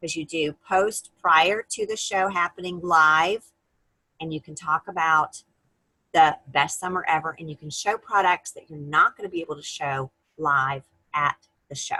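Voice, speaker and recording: A woman speaks at a fairly slow pace with a bright, sharp tone and ordinary pitch variation. Her loudness swings widely, and the sound is dry and close with no echo. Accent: American. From North Carolina. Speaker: direct sales team leader. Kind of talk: team meeting presentation.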